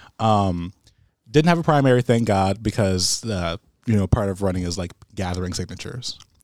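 In a very clean recording with a silent background and a dry, close sound with no echo, a man with an American accent and a fairly low pitch talks at a fairly quick pace with ordinary pitch variation in a plain, everyday voice. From Michigan (Pontiac). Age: 20s. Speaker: city council member. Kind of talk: casual chat.

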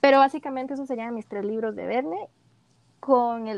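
In an unremarkable speaking voice, a woman talks at a fairly high pitch with ordinary pitch variation, the sound dry and close with no echo. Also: quiet background. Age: 20s. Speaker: podcast co-host. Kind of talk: casual chat.

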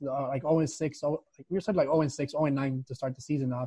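A man with an American accent talks at a fairly quick pace in a fairly high pitch, his intonation monotone and flat. His tone is dark and mellow, and somewhat breathy. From Chicago and Mexico City. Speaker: soccer coach. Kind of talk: casual interview.

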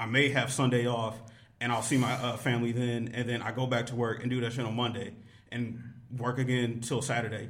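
A man's flat, monotone delivery at a fairly quick pace, with audible room echo. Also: medium pitch for a man. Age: 20s. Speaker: podcast guest. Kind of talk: casual chat.

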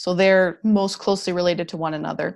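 Moderate-paced speech with a Canadian accent on a very clean recording with a silent background. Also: woman. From Canada (Alberta). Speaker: paleontologist. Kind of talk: interview. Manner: animated.

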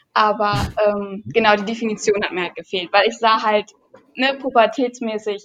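With a plain, everyday voice, a woman speaks at a fairly high pitch and a fairly slow pace with lively intonation. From near Düsseldorf, Germany. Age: 20s. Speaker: fitness YouTuber. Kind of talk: casual chat.

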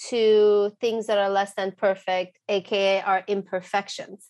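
A woman talks with a non-native accent against a quiet background. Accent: foreign. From abroad, moved to US at 14. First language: not English. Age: 30s. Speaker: psychologist. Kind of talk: interview.

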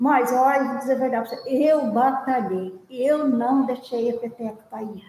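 Pitched high, a woman speaks at a fairly slow pace with hardly any pauses. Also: fairly even intonation. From São Luiz do Paraitinga, São Paulo interior. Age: 70s. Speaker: viola folk musician. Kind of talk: life story interview.

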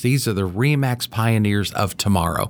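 In a Midwestern American accent, a man talks at a fairly low pitch on a very clean recording with a silent background. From Cincinnati, Ohio. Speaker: real estate executive. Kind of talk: interview.

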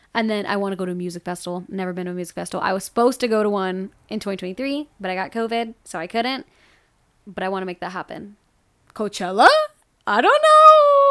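A woman with a medium pitch and a bright, sharp tone speaks at a very fast pace, her loudness swinging widely. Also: ordinary pitch variation. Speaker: podcast co-host. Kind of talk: casual chat.

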